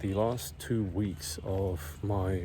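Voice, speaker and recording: A man whispering, somewhat breathy, with audible room echo. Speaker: vlogger. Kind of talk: casual vlog monologue. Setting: outdoors, walking uphill in neighborhood.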